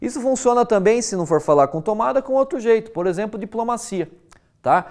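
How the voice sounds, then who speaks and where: With a Brazilian accent, a man speaks in a high voice at a fairly quick pace. His intonation is lively. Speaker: university lecturer. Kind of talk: lecture. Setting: recorded video lesson. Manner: casual, conversational with frequent fillers.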